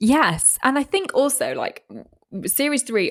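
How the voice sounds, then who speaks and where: A woman speaks with an English accent. Her pitch swings very widely. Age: 30s. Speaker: weather presenter and podcast co-host. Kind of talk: casual chat. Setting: call. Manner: fast, frantic.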